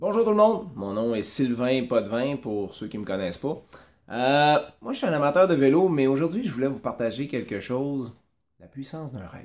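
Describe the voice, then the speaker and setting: Very wide pitch swings in a Quebec accent at a moderate pace, on a very clean recording with a silent background. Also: man, fairly high pitch for a man. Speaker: business coach and cycling school owner. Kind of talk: motivational talk to camera. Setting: at home. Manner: casual, conversational.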